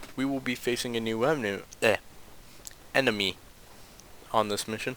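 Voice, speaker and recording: A quiet man talks at a fairly quick pace in a medium pitch. His intonation stays fairly even. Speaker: gaming video host. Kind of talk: let's play commentary. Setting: at home late at night.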